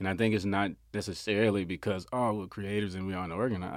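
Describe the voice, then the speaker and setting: A man with an American accent, very fast pace and fairly even intonation. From US South, Memphis, Tennessee. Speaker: business owner and creative. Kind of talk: casual interview. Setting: studio.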